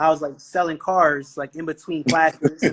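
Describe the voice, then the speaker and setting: The speech moves at a fairly quick pace. It comes with a New York accent. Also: man. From Brooklyn, New York. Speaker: entrepreneur. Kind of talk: podcast interview. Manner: animated.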